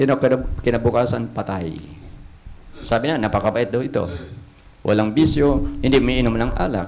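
There is light background noise as a man speaks. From Philippines. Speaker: preacher. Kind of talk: sermon. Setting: church. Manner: animated, call-and-response, repeatedly asking 'Amen?' and urging applause; earnest, exhortative, plain-spoken. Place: church. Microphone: handheld.

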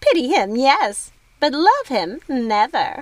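A woman uses a put-on character voice, high-pitched and shrill. She goes at a fairly slow pace with very wide pitch swings. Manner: taunting, cruel, eerie.

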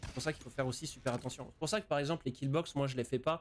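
Fairly even intonation marks this man's speech. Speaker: gaming streamer. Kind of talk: live game commentary and tutorial. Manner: hesitant, many repeated words. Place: home room.

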